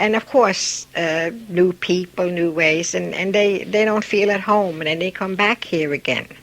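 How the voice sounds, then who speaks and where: A woman speaks at a fairly slow pace with hardly any pauses, in a medium pitch with ordinary pitch variation. Noticeable background noise runs underneath. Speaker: immigrant interviewee. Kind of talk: oral history interview.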